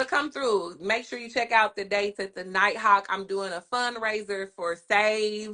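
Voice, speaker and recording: A woman talks at a moderate pace with hardly any pauses, her pitch fairly high. Her bright, sharp tone is animated, with big swings in loudness. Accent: Houston. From Kansas City and Houston. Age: 40s. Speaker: comedian. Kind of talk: podcast interview.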